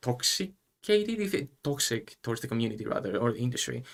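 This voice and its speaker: At a fairly quick pace, a man with a Greek accent speaks at a medium pitch. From Greece. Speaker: university student presenter. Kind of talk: live stream interview. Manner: formal.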